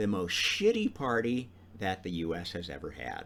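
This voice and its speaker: Speaking with an American accent, a man uses vocal fry and very wide pitch swings. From US, Idaho. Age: 60s. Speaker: podcast host. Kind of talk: monologue talk. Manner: casual, with many fillers.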